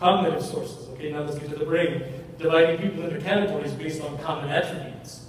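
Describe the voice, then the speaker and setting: Over noticeable background noise and audible room echo, a man talks at a very fast pace. His pitch is fairly high and his intonation fairly even. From Mexico. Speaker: university administrator and speaker. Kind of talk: lecture. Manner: repetitive, with false starts.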